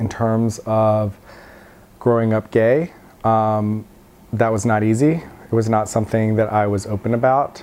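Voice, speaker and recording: In a normal speaking voice, a man with an American accent talks at a fairly slow pace, his medium pitch carried on fairly even intonation. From Virginia, USA. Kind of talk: oral history interview answer.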